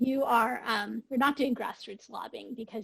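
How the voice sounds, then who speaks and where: At a moderate pace, the voice carries vocal fry and ordinary pitch variation, with a dry, close sound and no echo. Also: woman. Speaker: webinar participant reporting from breakout group. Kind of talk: group report-out in webinar. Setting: video call.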